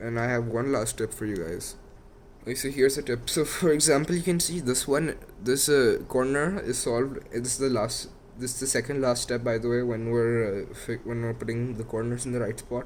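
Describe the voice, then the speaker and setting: A man with a non-native accent speaks fairly quickly at a medium pitch with ordinary pitch variation. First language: not English. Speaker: YouTuber teaching Rubik's cube. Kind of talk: tutorial. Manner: halting.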